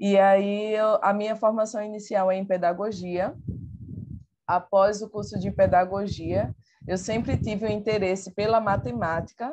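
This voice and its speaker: A woman with a Pernambuco accent speaks at a medium pitch. Her pace is fairly slow and her intonation fairly even. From Pernambuco, Brazil. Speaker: teacher and researcher. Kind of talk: online talk presentation.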